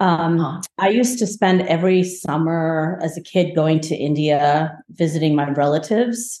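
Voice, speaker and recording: In an ordinary speaking voice, a woman talks at a moderate pace with an American accent. Her pitch varies in an ordinary way, and her loudness stays very even. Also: fairly low pitch for a woman. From New Jersey. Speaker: architect. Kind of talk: casual chat.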